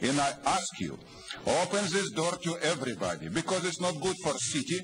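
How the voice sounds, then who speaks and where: A man talks at a moderate pace with lively intonation. Noticeable background noise runs underneath. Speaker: public commenter at city council, activist. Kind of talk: angry rant, accusatory public comment. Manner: insistent, indignant, repeating pointed questions; fiery, accusatory, blunt with broken grammar. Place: hall. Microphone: podium.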